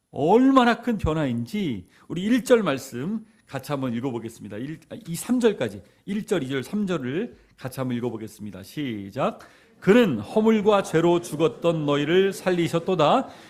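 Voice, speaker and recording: The man's fairly high pitch makes very wide swings. He keeps a moderate pace. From South Korea, Jeolla (Yeonggwang), later Seoul. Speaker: pastor. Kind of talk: sermon.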